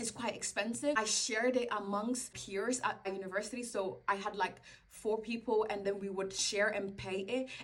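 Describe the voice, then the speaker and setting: A woman with a non-native accent speaks at a moderate pace and a fairly high pitch, with fairly even intonation and noticeable background noise. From Belgium. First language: not English. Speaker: education content creator. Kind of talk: advice vlog. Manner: casual.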